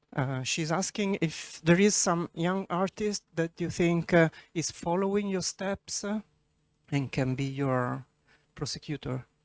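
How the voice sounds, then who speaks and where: The speaker talks at a fairly slow pace with an Italian accent. The recording is very clean, with a silent background. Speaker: event moderator and interpreter. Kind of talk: audience Q&A moderation. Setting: cinema with audience.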